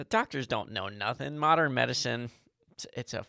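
A man's medium-pitched voice, bright and sharp in tone, with vocal fry and a dry, close sound free of echo. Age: 30s. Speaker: podcast co-host. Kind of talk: casual chat.

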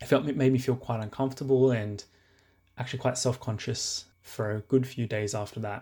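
A man speaks with an Australian accent at a medium pitch and a fairly quick pace. His tone is dark, mellow and somewhat breathy, with fairly even intonation. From Sydney, Australia. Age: 20s. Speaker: listener sharing a story. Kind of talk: testimony.

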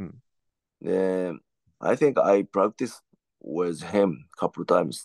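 With a Japanese accent, a man with a very deep, low voice talks fairly slowly with lively intonation and long, frequent pauses, in a dry, close sound with no echo. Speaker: professional wrestler. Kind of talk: casual chat. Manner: halting.

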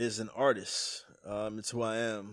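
A man with an unremarkable speaking voice and an American accent, fairly low in pitch, at a fairly slow pace, on a very clean recording with a silent background. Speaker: rapper. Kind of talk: casual chat.

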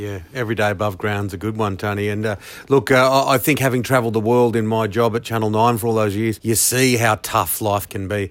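A man with an Australian accent speaks at a fairly quick pace and a fairly low pitch. His intonation is fairly even, in a very clean recording with a silent background. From Western Sydney, Australia. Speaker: podcast host. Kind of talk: casual interview; scripted intro.

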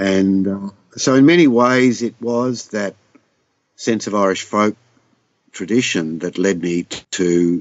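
Man with an Australian accent, fairly low pitch, ordinary pitch variation and a fairly slow pace. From southwest Victoria, Australia. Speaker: singer-songwriter. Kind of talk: interview. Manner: halting.

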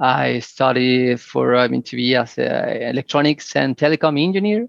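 A man speaks with a Spanish accent. His fairly high pitch moves with lively intonation. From Mexico, Mexico City area. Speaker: immigrant guest, engineer. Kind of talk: interview, casual chat. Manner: halting, many fillers and repetitions.

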